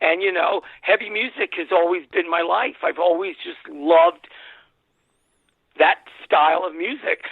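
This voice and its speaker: A man with a New York accent and a high pitch speaks at a fairly slow pace. His speech has long, frequent pauses. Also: ordinary pitch variation. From New York City. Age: 60s. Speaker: music industry executive. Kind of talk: interview.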